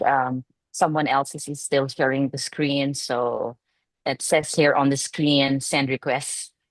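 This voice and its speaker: In a quiet background, a woman with a Filipino accent speaks at a very slow pace, her very deep, low pitch held in a monotone, flat intonation. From Philippines. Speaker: educator. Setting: video call.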